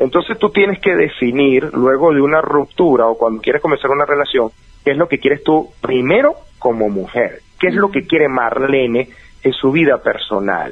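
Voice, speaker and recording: He has an unremarkable speaking voice, fairly high in pitch, at a moderate pace. The man's intonation is lively while his loudness stays very even. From Venezuela (Valencia). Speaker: life coach. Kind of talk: advice interview.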